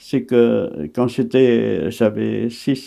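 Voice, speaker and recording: Very slowly, a man speaks in a dark, mellow tone. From Vietnam. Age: 80s. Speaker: actor. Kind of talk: interview answer.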